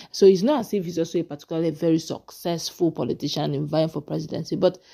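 A woman speaks at a fairly quick pace with a dark, mellow tone. Her pitch is fairly low, and there is vocal fry. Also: very clean recording, silent background. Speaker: political commentator. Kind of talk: interview. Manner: animated.

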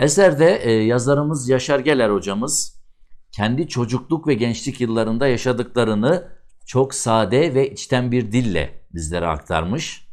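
In a very clean recording with a silent background, a man of medium pitch uses a plain, everyday voice with lively intonation at a fairly slow pace. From Ardahan region, northeastern Turkey. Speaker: video channel presenter. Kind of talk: book review presentation. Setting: studio. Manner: formal.

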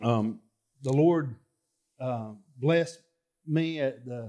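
With a quiet background, a man's fairly slow speech shows ordinary pitch variation. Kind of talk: personal testimony to congregation. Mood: grateful, hesitant. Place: church. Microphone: headset.

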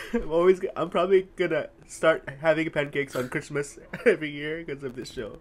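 Amid noticeable background noise, a man with a fairly high pitch and ordinary pitch variation speaks at a fairly quick pace. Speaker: reaction video host. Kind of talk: casual chat.

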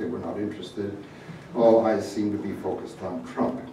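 A man talks fairly quickly, his voice carrying audible room echo against noticeable background noise. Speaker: guest lecturer. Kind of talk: lecture. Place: hall.

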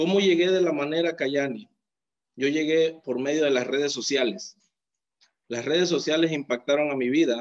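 In a quiet background, this man's pitch varies in an ordinary way. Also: moderate pace. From Mexico, Oaxaca coast; Oaxaca, Mexico. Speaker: network marketing distributor. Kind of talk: testimony. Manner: animated. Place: home room. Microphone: phone near.

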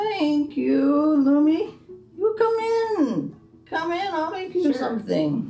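A female-sounding voice puts on a character voice at a high pitch. The pace is very slow. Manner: warm, fussing.

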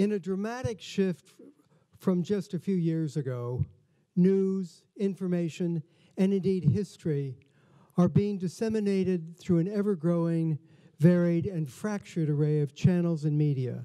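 A man speaks at a moderate pace in a high pitch for a man, with ordinary pitch variation over a quiet background. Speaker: museum host. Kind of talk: formal welcome speech. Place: hall. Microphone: podium.

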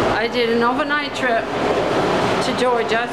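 A woman's voice under loud background noise. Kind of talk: casual vlog chat. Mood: cheerful, proud of car. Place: street. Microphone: phone near.

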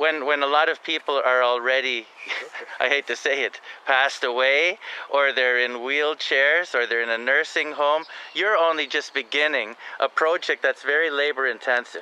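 A man's voice at a moderate pace, with fairly even intonation and very even loudness, in a dry sound with no echo. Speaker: interviewer, host. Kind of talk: casual talk to camera. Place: garden.

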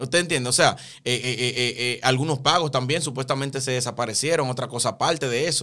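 Against a quiet background, a man speaks very fast in a bright, sharp tone at a medium pitch. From Dominican Republic. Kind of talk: casual chat. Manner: animated. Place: studio. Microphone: studio mic.

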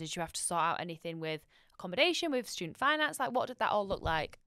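A woman's bright, sharp voice makes very wide pitch swings, recorded dry with no echo against a quiet background. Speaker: podcast host, university marketing staff; podcast host. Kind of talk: casual interview. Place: studio. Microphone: studio mic.

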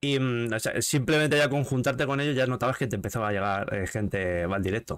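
In a plain, everyday voice, a man speaks at a medium pitch and a fairly quick pace with hardly any pauses. His pitch variation is ordinary, and the background is quiet. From Spain. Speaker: gaming streamer and interview host; gaming streamer, interview host. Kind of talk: casual interview chat. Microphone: studio mic.

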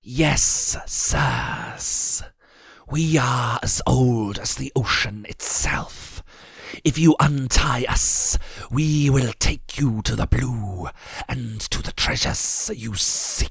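In a put-on character voice, a man hisses his words at a very slow pace and a medium pitch. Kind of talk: archaic speech. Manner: humble, hissing.

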